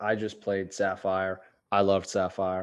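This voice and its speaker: A man against a quiet background. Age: 20s. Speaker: podcast host. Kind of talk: casual interview chat; scripted intro narration. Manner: animated.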